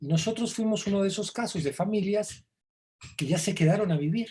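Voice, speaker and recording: A man with an Argentine accent at a fairly quick pace. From Argentina, Buenos Aires; raised in Mexico from age 12. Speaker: songwriter and novelist. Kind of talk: interview.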